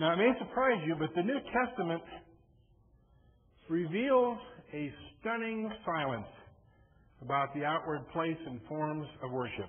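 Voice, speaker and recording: A man with a high voice at a fairly slow pace, very wide pitch swings, long and frequent pauses, audible room echo and noticeable background noise. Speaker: lay preacher. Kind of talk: sermon. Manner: mumbly, may slur words.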